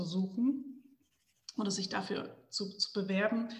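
Somewhat breathy and very slow, a woman talks at a medium pitch with fairly even intonation. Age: 40s. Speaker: entrepreneur. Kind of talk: interview.

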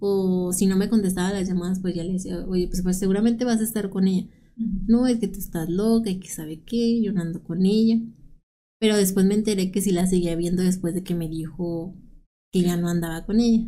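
A woman's medium-pitched voice, dark and mellow in tone, fairly quick with fairly even intonation, amid audible room echo. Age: 30s. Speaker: domestic violence survivor sharing her story. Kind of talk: personal testimony in interview.

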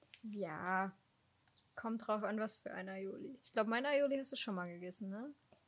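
At a moderate pace, a woman speaks in a normal speaking voice with a fairly high pitch and ordinary pitch variation. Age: 20s. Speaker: podcast co-host. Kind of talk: casual chat.

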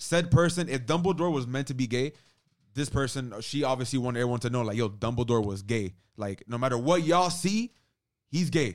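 Heard in a very clean recording with a silent background, a man has an unremarkable speaking voice at medium pitch, a fairly quick pace and lively intonation. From Cuban-American. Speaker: podcast co-host. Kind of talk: casual chat.

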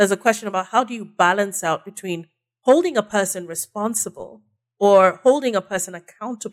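In a Nigerian accent, a woman talks at a fairly quick pace with medium pitch, ordinary pitch variation and big swings in loudness, the sound dry and close with no echo. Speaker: communications strategist. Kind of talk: casual interview chat. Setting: studio.

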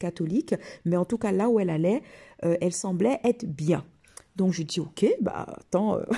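In a very clean recording with a silent background, a woman speaks at a moderate pace with a medium pitch and ordinary pitch variation. Her voice is somewhat breathy, with a dark, mellow tone. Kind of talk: personal testimony. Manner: hesitant, many fillers and repetitions.

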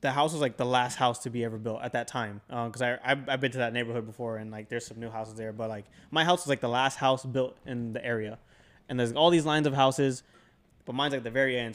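Here a man speaks at a medium pitch. His pace is very fast. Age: 20s. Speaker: podcast host. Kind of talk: casual chat.

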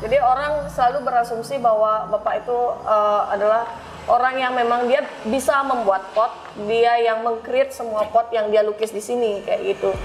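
Moderate pace from a woman, fairly high-pitched with fairly even intonation, noticeable background noise present. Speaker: pottery studio owner. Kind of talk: interview. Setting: pottery studio gallery.

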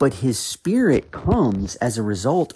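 In a very clean recording with a silent background and a dry, close sound with no echo, a man speaks at a fairly slow pace in a dark, mellow, medium-pitched tone with vocal fry and very wide pitch swings. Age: 40s. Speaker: podcast host, Bible teacher. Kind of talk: Bible teaching monologue.

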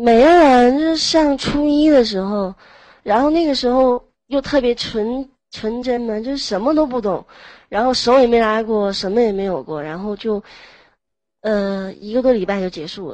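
Using a plain, everyday voice, a woman with a fairly high pitch talks at a moderate pace with lively intonation and big swings in loudness. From Heilongjiang, northeast China. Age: 20s. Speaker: manual worker. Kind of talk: casual chat. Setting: online voice chat room.

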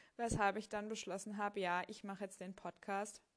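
A woman speaks in a monotone, flat intonation. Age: 30s. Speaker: podcast host, tax adviser exam candidate. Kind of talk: solo monologue. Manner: casual with frequent fillers.

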